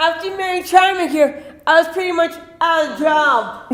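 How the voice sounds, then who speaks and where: A put-on character voice at an extremely high pitch comes through with a slight echo. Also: moderate pace. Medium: stage play. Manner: rambling.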